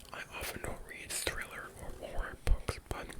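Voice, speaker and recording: A man's whisper comes through at a fairly slow pace, with noticeable background noise behind it. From Ontario, Canada. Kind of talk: ASMR book haul video, whispered talk to camera. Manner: whispering, soft-spoken, relaxing.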